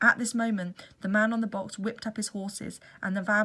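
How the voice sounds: Fairly even intonation marks this natural reading voice, which is delivered in one take.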